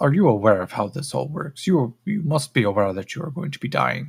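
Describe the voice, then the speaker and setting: The speaker puts on a character voice. The delivery is fairly quick. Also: man, fairly high pitch for a man. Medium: actual play. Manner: clinical, condescending.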